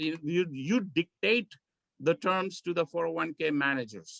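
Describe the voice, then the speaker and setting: With a bright, sharp tone and lively intonation, a man speaks at a high pitch, the sound dry and close with no echo. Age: 60s. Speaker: tax accountant. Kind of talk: Q&A session.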